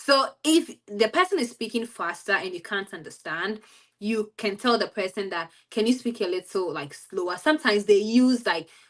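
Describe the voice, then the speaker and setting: A woman with a Ghanaian accent speaks at a moderate pace in a fairly high pitch with ordinary pitch variation. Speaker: study-abroad student. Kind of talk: interview.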